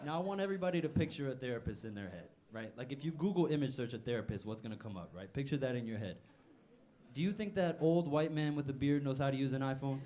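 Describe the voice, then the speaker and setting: A man talks at a very fast pace, with audible room echo around his voice. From Newark, New Jersey, Puerto Rican family. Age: 20s. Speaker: stand-up comedian. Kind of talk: stand-up. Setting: stage with audience.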